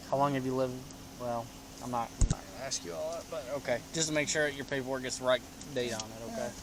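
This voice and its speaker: Over noticeable background noise, a man speaks at a very fast pace and medium pitch with ordinary pitch variation. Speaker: police officer. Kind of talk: police arrest procedure. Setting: outdoors at a gas station traffic stop.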